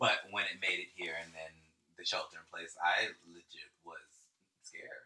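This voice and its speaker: Someone with an American accent speaks at a moderate pace, with long, frequent pauses. The loudness swings widely. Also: man. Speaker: podcast co-host. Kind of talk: casual chat. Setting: Instagram live stream.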